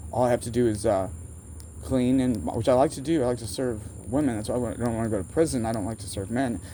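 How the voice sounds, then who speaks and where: Speaking at a very fast pace, a man with an American accent has a medium pitch, ordinary pitch variation and a dark, mellow tone. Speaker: vlogger. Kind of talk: casual rambling monologue. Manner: halting, self-interrupting.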